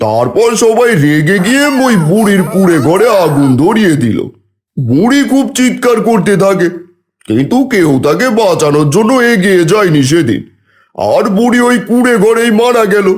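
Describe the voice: In a cartoonish character voice, a man talks at a fairly slow pace, his high pitch making very wide swings.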